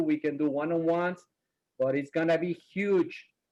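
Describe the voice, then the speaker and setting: Talking at a fairly quick pace with a non-native accent, a man uses a fairly high pitch and a dark, mellow tone, recorded with a dry, close sound and no echo. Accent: foreign. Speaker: title company rep and trainer. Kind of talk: webinar presentation. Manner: animated.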